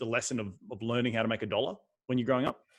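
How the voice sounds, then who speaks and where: Speaking with an Australian accent, a man uses a medium pitch and an energetic tone. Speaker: podcast host. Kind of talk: interview podcast. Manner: fast.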